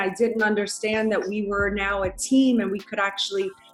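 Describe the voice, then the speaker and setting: A woman with an American accent has an ordinary speaking voice, talking at a moderate pace and a fairly high pitch with fairly even intonation. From US South, New Orleans, Louisiana. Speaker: businesswoman, former actress and model. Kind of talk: interview.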